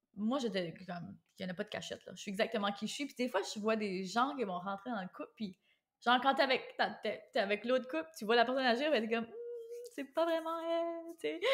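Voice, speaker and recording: With an Acadian accent, a woman speaks in an animated tone at a fairly quick pace, her fairly high voice making very wide pitch swings and big swings in loudness. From Acadia (New Brunswick, Canada). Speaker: podcast host. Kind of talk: casual chat. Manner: fast.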